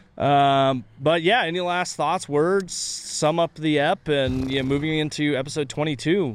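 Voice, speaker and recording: Over noticeable background noise, a man speaks at a fairly slow pace with hardly any pauses. His pitch is fairly high with ordinary variation. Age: 30s. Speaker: podcast co-host. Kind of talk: casual chat. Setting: outdoors at a coffee shop courtyard.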